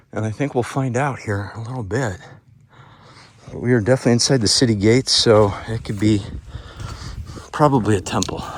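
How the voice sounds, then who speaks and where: A man whispering over noticeable background noise. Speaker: travel vlogger exploring ruins. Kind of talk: walking tour narration. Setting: outdoors on mountain trail. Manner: casual, conversational.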